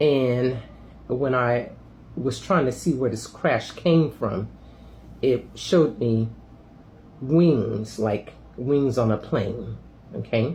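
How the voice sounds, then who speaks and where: Speaking at a very slow pace with long, frequent pauses, a man uses a somewhat breathy, medium-pitched voice with ordinary pitch variation. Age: 60s. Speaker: spiritual vlogger. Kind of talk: casual monologue video. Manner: halting, many fillers.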